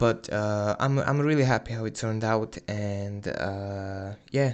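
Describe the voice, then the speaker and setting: A man speaks fairly slowly with a quiet background. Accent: non-native. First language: not English. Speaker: hobbyist YouTuber. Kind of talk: video narration. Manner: halting, many fillers.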